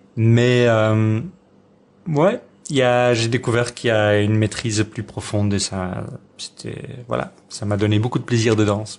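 A man with a Dutch accent, medium-pitched, at a fairly slow pace with fairly even intonation and long, frequent pauses. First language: Dutch (speaking French). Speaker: folk dancer and dance teacher. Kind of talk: radio interview. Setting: at home. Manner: halting.

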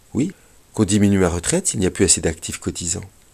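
The man's voice sits very deep and low and is somewhat breathy. The recording is very clean, with a silent background. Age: 60s. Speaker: retired veterinary school teacher, radio commentator. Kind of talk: scripted radio commentary. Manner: formal.

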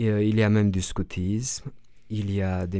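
A man with a Romanian accent talks at a fairly slow pace. His voice is fairly low-pitched, with a dark, mellow tone. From Romania, northern Transylvania. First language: Romanian (speaking French). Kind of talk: radio interview. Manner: halting, many repetitions and fillers.

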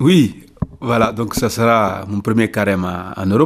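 A man speaking at a very slow pace. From Senegal, Ziguinchor region (south). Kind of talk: radio interview. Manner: halting.

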